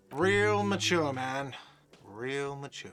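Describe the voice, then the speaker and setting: A man's put-on character voice, whiny in tone, at medium pitch with ordinary pitch variation. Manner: whiny, sarcastic.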